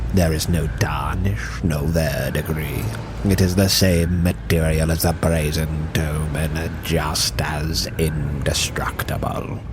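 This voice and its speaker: A man uses a put-on character voice with a very deep, low pitch, speaking at a fairly slow pace with hardly any pauses. Loud background noise runs underneath. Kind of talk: dark fantasy monologue. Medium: audio drama. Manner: measured, condescending, archaic.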